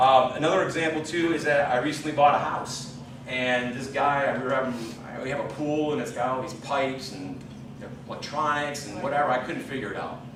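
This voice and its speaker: A man's medium-pitched voice, animated in tone and fairly quick, with ordinary pitch variation, audible room echo and noticeable background noise. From New York. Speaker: sales rep giving motivational speech. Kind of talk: motivational speech. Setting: stage at company dinner. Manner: fast.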